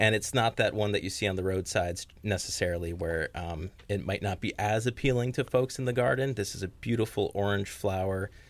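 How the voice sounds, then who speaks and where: On a very clean recording with a silent background, a man with a normal speaking voice and fairly low pitch speaks at a fairly quick pace, with ordinary pitch variation and hardly any pauses. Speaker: conservation manager. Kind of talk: radio interview.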